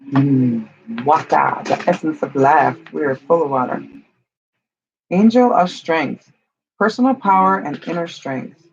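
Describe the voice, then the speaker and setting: The speech moves at a fairly slow pace with long, frequent pauses. Music plays in the background. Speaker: tarot card reader. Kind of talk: tarot reading. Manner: casual, chatty.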